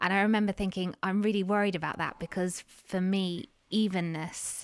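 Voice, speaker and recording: Recorded very cleanly against a silent background, an ordinary speaking voice moves at a moderate pace with fairly even intonation. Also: woman. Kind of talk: casual interview chat.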